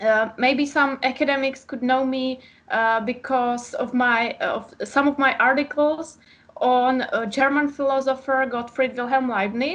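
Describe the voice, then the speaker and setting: A woman speaks in a Czech accent with a high pitch. Her pace is fairly slow and her intonation fairly even. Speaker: author and philosophy PhD student. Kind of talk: interview. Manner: halting, many fillers.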